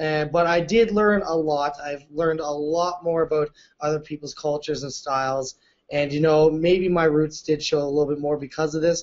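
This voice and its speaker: Here a man speaks with a Canadian accent and a fairly high pitch. His pace is moderate. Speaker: reality show contestant. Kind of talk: casual chat. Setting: video call. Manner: loud; animated.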